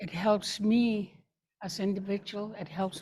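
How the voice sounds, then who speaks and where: A woman's somewhat breathy, medium-pitched voice with a dark, mellow tone at a fairly slow pace. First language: Gwich'in. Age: 70s. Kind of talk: panel introduction. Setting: live webinar.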